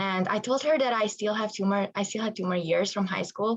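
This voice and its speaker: A woman speaks with a Hungarian accent. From Hungary. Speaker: college water polo player. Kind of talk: interview.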